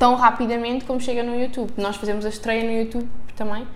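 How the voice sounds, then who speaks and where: A woman with a European Portuguese accent speaks at a high pitch in a monotone, flat intonation. Room echo is audible. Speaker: podcast co-host. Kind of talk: casual chat.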